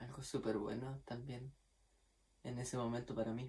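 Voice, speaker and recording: Fairly even intonation marks this man's speech, which sits at a medium pitch. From Chile, Magallanes region (Puerto Natales). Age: 20s. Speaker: violin student. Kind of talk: testimony. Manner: casual, with fillers.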